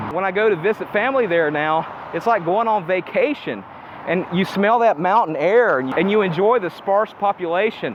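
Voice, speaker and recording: With noticeable background noise behind him, a man with an American accent speaks at a moderate pace. His pitch is high, with ordinary variation. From Appalachia, US. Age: 40s. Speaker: self-improvement vlogger. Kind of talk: casual vlog monologue. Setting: outdoors, walking in the sun.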